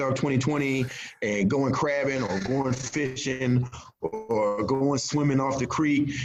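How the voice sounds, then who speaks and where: Here is a man with a Virginia accent. His pace is fairly slow. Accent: Southern US (Virginia). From rural Virginia, US South. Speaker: crime novelist. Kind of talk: interview.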